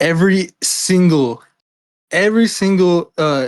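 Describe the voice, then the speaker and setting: A man with a Miami accent on a very clean recording with a silent background. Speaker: philosophy and legal theory discussant. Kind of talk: casual intellectual discussion. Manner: halting, many fillers and restarts.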